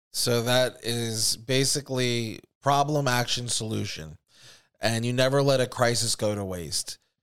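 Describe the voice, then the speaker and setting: This man has an unremarkable speaking voice, talking at a fairly slow pace and medium pitch with ordinary pitch variation on a very clean recording with a silent background. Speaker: podcast host. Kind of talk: angry rant about government and false flags. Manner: heated, profane, indignant.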